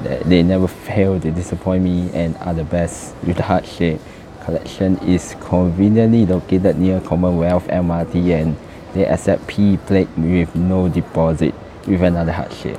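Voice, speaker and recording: A man speaks at a very deep, low pitch and a moderate pace. His intonation is monotone and flat, and there is noticeable background noise. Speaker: video blogger. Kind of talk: casual vlog commentary. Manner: casual, laughs often.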